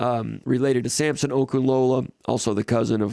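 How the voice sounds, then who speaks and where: The man's voice has a dark, mellow tone. The sound is dry and close, with no echo. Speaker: sports publisher and show host. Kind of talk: live sports talk show. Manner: fast, sometimes drops consonants; casual, with fillers.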